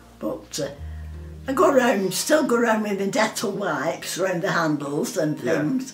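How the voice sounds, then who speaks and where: Very wide pitch swings carry over audible room echo, with faint music in the background. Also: woman, moderate pace. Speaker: interviewee. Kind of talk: interview answer. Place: home room.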